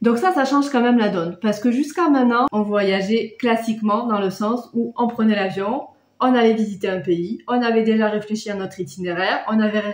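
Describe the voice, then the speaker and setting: The delivery has ordinary pitch variation at a moderate pace. Room echo can be heard. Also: woman. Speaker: travel vlogger. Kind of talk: casual vlog chat. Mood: calm, explanatory. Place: home room. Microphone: phone near.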